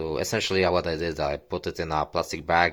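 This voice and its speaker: On a very clean recording with a silent background, a man with a very deep, low pitch and vocal fry speaks at a moderate pace. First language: not English (English is third language). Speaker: DIY hobbyist vlogger. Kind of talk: tutorial. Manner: halting, many fillers.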